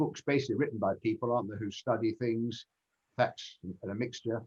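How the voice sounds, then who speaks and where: A man with a southern English accent speaks at medium pitch with ordinary pitch variation. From England, Kent. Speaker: genealogy speaker. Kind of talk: Q&A after talk.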